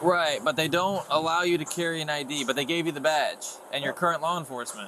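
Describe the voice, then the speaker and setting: Fairly even intonation at a very fast pace, with noticeable background noise behind it. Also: man, fairly high pitch for a man. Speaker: sheriff's deputy. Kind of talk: police body cam exchange.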